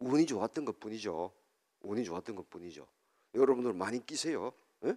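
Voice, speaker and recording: Dry and close with no echo, a man talks at a fairly quick pace in a medium-pitched voice with a dark, mellow tone. His intonation is lively, and his loudness swings widely. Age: 60s. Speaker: professor and lecturer. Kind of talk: public lecture. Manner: conversational, asks audience questions.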